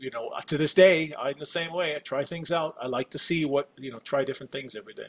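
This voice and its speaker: A normal speaking voice moves at a fairly quick pace with hardly any pauses and fairly even intonation. Its loudness swings a lot. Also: man, fairly high pitch for a man. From US Midwest, Wisconsin. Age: 60s. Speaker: company executive. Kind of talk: podcast interview.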